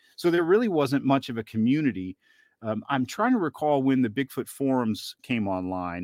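In an American accent, a man speaks with very wide pitch swings, the sound dry and close with no echo over a quiet background. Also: medium pitch for a man, moderate pace. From US South, northeast Georgia (Southern Appalachians). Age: 30s. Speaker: Bigfoot researcher and podcast producer. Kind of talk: interview.

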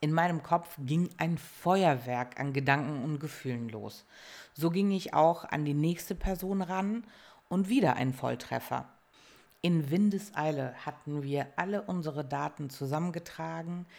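A woman with a very deep, low pitch speaks fairly slowly with ordinary pitch variation. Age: 30s. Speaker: podcast host. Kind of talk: casual monologue.

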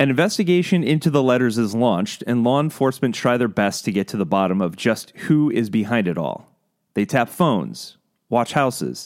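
Lively in intonation, a man speaks at a medium pitch and a fairly quick pace in a very clean recording with a silent background. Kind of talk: true-crime narration. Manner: measured, steady storyteller pacing with ominous, suspenseful emphasis; clear, scripted, formal documentary delivery.

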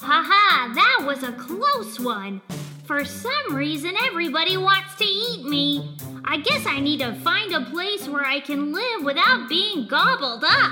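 A put-on character voice moves at a fairly slow pace over clear background music. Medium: audio drama. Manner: chirpy, energetic.

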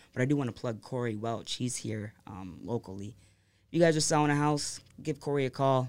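With an American accent, a man talks in a normal speaking voice at a fairly quick pace with ordinary pitch variation. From US Midwest, Monroe, Michigan. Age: 20s. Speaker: marketing salesman and local promoter. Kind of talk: casual chat. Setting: studio.

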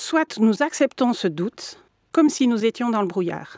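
A woman with a normal speaking voice, lively intonation and a moderate pace, in a dry, close sound with no echo. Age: 50s. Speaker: mediator and lawyer. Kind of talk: interview.

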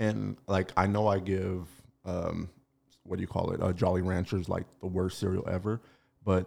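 A man speaks with a very deep, low pitch and a dark, mellow tone at a moderate pace. His pitch varies in an ordinary way in a very clean recording with a silent background. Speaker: podcast host. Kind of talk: casual chat.

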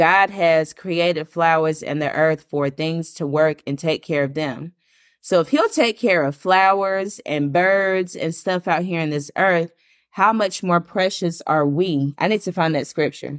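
In a very clean recording with a silent background, a woman with a plain, everyday voice speaks at a fairly slow pace and a fairly low pitch, with ordinary pitch variation. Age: 30s. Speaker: podcast host and author. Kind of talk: casual solo podcast monologue.

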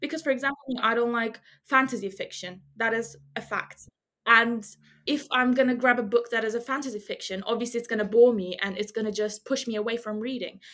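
A woman with a fairly high pitch talks at a fairly quick pace. Hers is an unremarkable speaking voice with fairly even intonation. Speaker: medical student. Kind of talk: casual chat.

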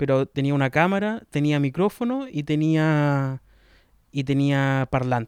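The recording is very clean, with a silent background. The pitch varies in an ordinary way. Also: man. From southern Chile, Los Ríos region. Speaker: podcaster. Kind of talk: casual monologue. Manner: relaxed.

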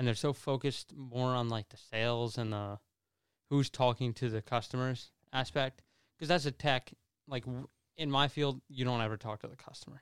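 A man talks in a normal speaking voice with fairly even intonation and big swings in loudness. The sound is dry and close, with no echo. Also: medium pitch for a man, moderate pace, very clean recording, silent background. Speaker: diesel mechanic. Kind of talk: casual chat. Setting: studio.

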